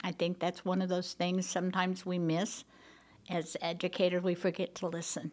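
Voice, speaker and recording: A woman speaks at a moderate pace in a medium pitch with an Oklahoma accent. The recording is very clean, with a silent background. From Oklahoma, Tulsa. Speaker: school board president. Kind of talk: interview.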